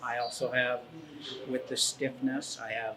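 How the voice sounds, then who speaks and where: Through noticeable background noise, a man with a medium pitch talks at a moderate pace with fairly even intonation. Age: 60s. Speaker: fitness client. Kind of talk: casual chat.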